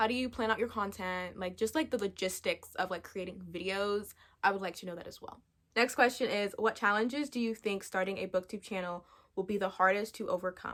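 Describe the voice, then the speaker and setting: A woman's animated voice at medium pitch, with a fairly quick pace, ordinary pitch variation and big swings in loudness. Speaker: booktuber. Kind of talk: casual chat. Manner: fast.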